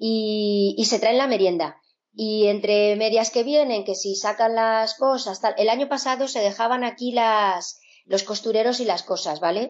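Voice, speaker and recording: A woman with an ordinary speaking voice, fairly high in pitch, with ordinary pitch variation and a fairly slow pace. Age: 50s. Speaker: sewing teacher. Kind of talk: interview conversation.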